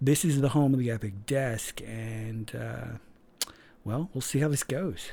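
Speaking at a very slow pace, a man uses a medium pitch with ordinary pitch variation and a dark, mellow tone that is somewhat breathy. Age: 40s. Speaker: podcast host. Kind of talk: casual monologue.

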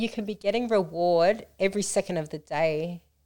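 With an Australian accent, a woman talks at a moderate pace and medium pitch, using ordinary pitch variation and a dark, mellow tone. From Australia, Melton in western Melbourne. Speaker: co-founder of a women's support organisation, former nightclub runner. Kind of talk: casual podcast chat. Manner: animated.

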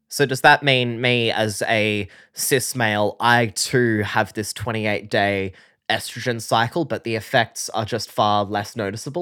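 With an Australian accent, a man talks at a moderate pace in a playful, bright and sharp tone with ordinary pitch variation. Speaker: science podcast co-host, enthusiast not scientist. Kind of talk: casual comedic science chat. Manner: jokey, playful.

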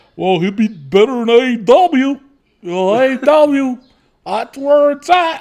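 In a put-on character voice, a man speaks at a very slow pace with lively intonation and an extremely high pitch. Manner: mocking, dumb-sounding.

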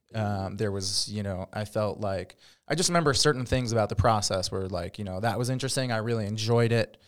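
The man's pace is fairly quick and his pitch fairly low, with ordinary pitch variation. It is a plain, everyday voice, on a very clean recording with a silent background. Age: 30s. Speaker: real estate agent. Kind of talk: casual chat. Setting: studio.

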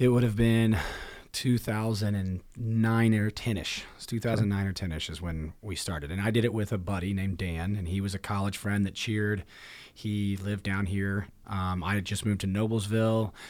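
On a very clean recording with a silent background, a man with a Midwestern American accent and a fairly low pitch speaks at a moderate pace with fairly even intonation. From Indiana, Marion. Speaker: gym owner and podcast co-host. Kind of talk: casual chat.

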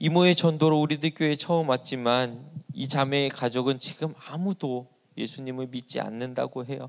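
A man speaks at a moderate pace and medium pitch, with fairly even intonation, hardly any pauses, and a quiet background. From South Korea, Asan, South Chungcheong. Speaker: pastor. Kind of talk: sermon. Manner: hesitant fillers.

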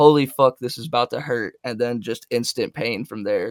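In a very clean recording with a silent background and a dry, close sound with no echo, a man with an unremarkable speaking voice talks at a fairly quick pace, medium in pitch, with fairly even intonation. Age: 20s. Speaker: music artist and producer. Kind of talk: casual chat.

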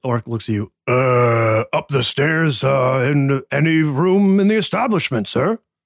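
A man puts on a character voice at a medium pitch. He goes at a fairly slow pace with hardly any pauses. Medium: actual play. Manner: halting, one-word phrases.

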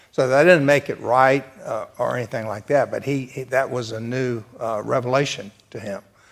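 A man speaks with a Southern US accent and hardly any pauses. His loudness swings widely while his intonation stays fairly even. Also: medium pitch for a man, moderate pace. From US South. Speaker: church class panelist. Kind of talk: church discussion.

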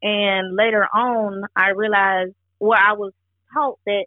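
At a moderate pace, an ordinary speaking voice talks with an American accent. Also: woman. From Georgia, US (from age four). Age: 20s. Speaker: musician, songwriter. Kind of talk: interview.

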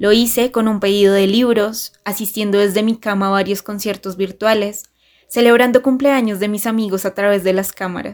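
A woman talks in an ordinary speaking voice with fairly even intonation. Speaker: journalist. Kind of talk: personal essay read aloud.

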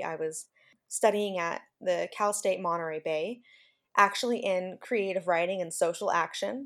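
In a very clean recording with a silent background, a woman with an American accent speaks at a moderate pace in an unremarkable speaking voice, her medium pitch carried by lively intonation. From California Central Valley. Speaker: special education teacher. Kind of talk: interview.

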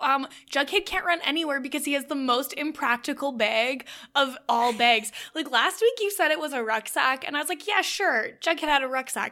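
Raised and projected, a woman's high-pitched voice carries a bright, sharp tone and lively intonation. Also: moderate pace. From Canada. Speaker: podcast co-host. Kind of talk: casual recap chat. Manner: animated.

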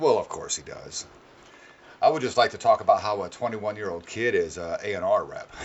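A man talks at a moderate pace, with noticeable background noise. His loudness swings widely. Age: 40s. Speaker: podcast host. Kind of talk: casual profane banter; radio-style show intro patter, punchy teaser rundown. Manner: laughing, joking; brisk, upbeat announcer delivery.

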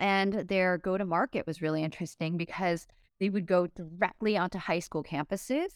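A woman's fairly low voice at a fairly quick pace, in a very clean recording with a silent background and a dry, close sound with no echo. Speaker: investor and entrepreneur. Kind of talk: casual interview chat. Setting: podcast recording. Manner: animated, conversational.

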